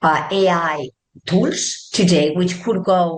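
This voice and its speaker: A woman of medium pitch speaks with a Spanish accent amid audible room echo. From Spain, Barcelona. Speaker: tech executive. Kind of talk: interview.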